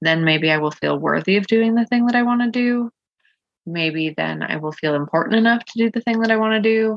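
A woman's fairly high, mumbling voice at a fairly quick pace, with lively intonation. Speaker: podcast host and coach. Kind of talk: solo podcast monologue, personal sharing. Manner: vulnerable, reflective; occasional stutter, mumbling and filler ums.

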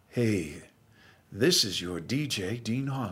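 A man's put-on character voice at a medium pitch. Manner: smooth.

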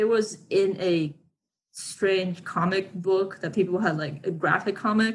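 Speaking at a fairly slow pace, a woman sounds somewhat breathy. Her pitch is medium and her intonation fairly even. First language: not English. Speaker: aspiring actor and model. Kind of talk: interview. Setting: remote call.

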